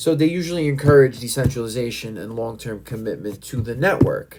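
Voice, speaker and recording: A man talks with lively intonation and a fairly quick pace. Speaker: crypto YouTuber. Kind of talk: tutorial. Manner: fast. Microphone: recorded on iPad, technical issues.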